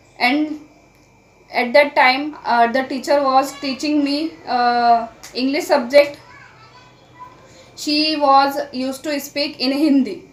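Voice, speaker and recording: At a very slow pace with long, frequent pauses and fairly even intonation, the speech sits over noticeable background noise. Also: woman, high pitch for a woman. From India. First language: Marathi. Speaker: English learning YouTuber. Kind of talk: casual vlog talk to camera. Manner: halting, with fillers and self-corrections.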